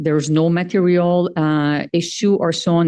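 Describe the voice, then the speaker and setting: A woman speaks with a French accent in a fairly low pitch and a dark, mellow tone. Her intonation stays fairly even over a quiet background. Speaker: organization treasurer presenting finances. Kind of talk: annual meeting financial report. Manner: hesitant, many filler sounds.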